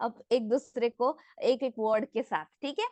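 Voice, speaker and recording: With lively intonation, a woman speaks in a high pitch, the sound dry and close with no echo. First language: not Hindi (speaking Hindi). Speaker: nutrition product trainer. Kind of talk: online product training. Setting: online session. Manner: interactive, asks audience questions.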